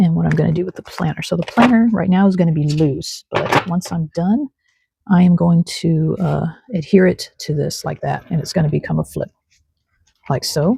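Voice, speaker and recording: Her voice is somewhat breathy, with a dark, mellow tone and fairly low pitch. The woman speaks at a moderate pace in a dry, close sound with no echo. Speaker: craft journaling vlogger. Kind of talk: casual craft tutorial vlog. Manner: relaxed, chatty.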